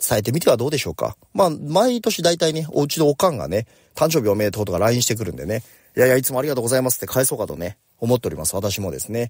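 Very fast male speech at a medium pitch, with vocal fry, very wide pitch swings and a very clean recording on a silent background. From Japan, Oita Prefecture. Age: 40s. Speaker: company president. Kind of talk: morning talk monologue. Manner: casual.

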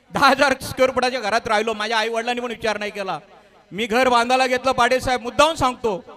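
The voice is raised and projected, with fairly even intonation. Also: man, extremely high pitch for a man. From Maharashtra, Raigad/Thane region (Agri community). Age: 50s. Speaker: businessman and local community leader. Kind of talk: speech to an audience.

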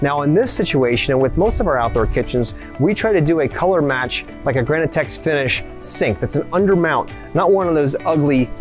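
Clear music plays in the background as the speaker talks at a fairly quick pace. The sound is dry, with no echo. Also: man. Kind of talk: walkthrough tutorial. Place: garden.

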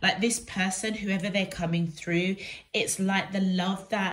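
The woman sounds somewhat breathy. She talks at a fairly slow pace with fairly even intonation. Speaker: tarot reader. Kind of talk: tarot reading for viewers. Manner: hesitant, many fillers. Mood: warm, gentle, reassuring. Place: home room. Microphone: phone near.

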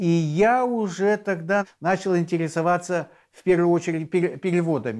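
A man's high voice, with ordinary pitch variation, moves at a fairly slow pace. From Yakutia, Siberia, then Denmark from childhood. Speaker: journalist and translator. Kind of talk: interview.

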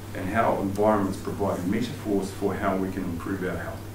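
A man talks at a fairly quick pace in a fairly low, monotone, flat voice, with audible room echo and noticeable background noise. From New Zealand. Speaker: sports psychologist and outdoor education presenter; presenter. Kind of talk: lecture. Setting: stage with audience. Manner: humorous. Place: meeting room. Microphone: camera far.

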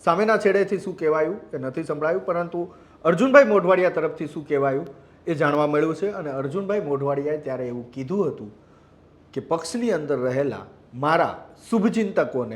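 Using an ordinary speaking voice, a man talks at a fairly high pitch with lively intonation and big swings in loudness. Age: 40s. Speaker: news journalist. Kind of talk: news commentary report.

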